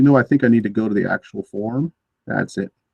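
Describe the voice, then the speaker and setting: Soft-spoken and dark, mellow in tone, a man talks at medium pitch with ordinary pitch variation in a dry, close sound with no echo. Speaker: teacher trainer. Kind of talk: online training session. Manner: halting.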